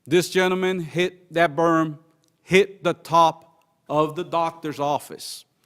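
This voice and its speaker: Speaking at a fairly slow pace, a man with a high pitch has a slight non-native accent. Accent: slight foreign twang. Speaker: citizen speaking at public comment. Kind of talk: public comment speech.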